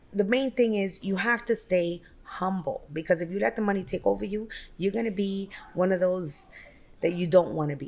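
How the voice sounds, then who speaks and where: A woman talks at a moderate pace in a New York accent. Her pitch is medium, with ordinary variation. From Brooklyn, New York. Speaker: real estate broker and business owner. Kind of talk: interview.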